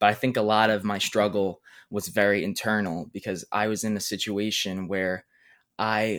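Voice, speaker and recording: On a very clean recording with a silent background, a man with a fairly low pitch speaks at a moderate pace. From Brooklyn, New York. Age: 20s. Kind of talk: interview.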